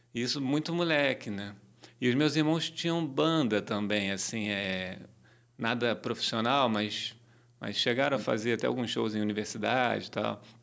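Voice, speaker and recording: Man with a normal speaking voice, medium pitch, lively intonation and a moderate pace. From Rio de Janeiro, Brazil (Tijuca, north zone). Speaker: reggae musician and songwriter. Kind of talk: casual interview.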